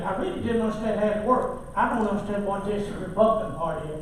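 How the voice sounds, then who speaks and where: With a Tennessee accent, a man speaks in a high pitch with ordinary pitch variation. Noticeable background noise and audible room echo fill the recording. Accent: Southern US (Tennessee). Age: 60s. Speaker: county commissioner. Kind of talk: heated debate. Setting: public meeting. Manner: halting.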